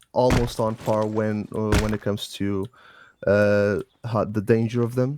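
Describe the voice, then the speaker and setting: A man's medium-pitched voice in a non-native accent, at a moderate pace, with monotone, flat intonation. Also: dry, close sound with no echo. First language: not English. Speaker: game clan instructor. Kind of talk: training briefing. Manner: halting.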